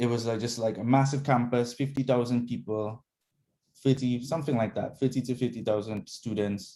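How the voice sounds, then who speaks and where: The man's dark, mellow voice sits at a medium pitch, moving at a moderate pace with fairly even intonation. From Dominica. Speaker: guest. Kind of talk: casual chat.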